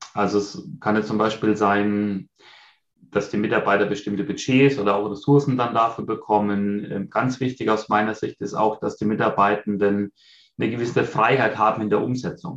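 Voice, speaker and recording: Against a quiet background, a man with a normal speaking voice and fairly low pitch talks at a moderate pace with fairly even intonation. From Bavaria, near Munich. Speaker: leader and vision board workshop coach. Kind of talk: interview.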